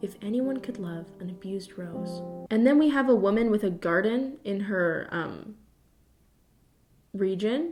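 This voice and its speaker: Music plays in the background as a woman speaks at a moderate pace. Her pitch sits at medium with ordinary variation. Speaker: YouTuber. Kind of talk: casual commentary to camera, reading poems aloud. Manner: sarcastic, humorous.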